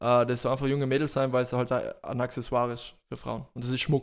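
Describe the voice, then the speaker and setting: The man speaks in a monotone with flat intonation, recorded very cleanly against a silent background. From South Tyrol, Italy. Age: 20s. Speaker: self-employed entrepreneur. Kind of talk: casual chat.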